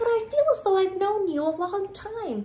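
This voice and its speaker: A woman does a squeaky put-on character voice at an extremely high pitch and a moderate pace. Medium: read story.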